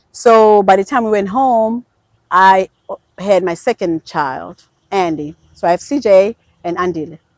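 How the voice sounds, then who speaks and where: A woman speaks with a Zulu accent. Her pitch sits in the medium range. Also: ordinary pitch variation, fairly slow pace, dry, close sound with no echo. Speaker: podcast guest. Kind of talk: casual chat. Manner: casual, halting with fillers.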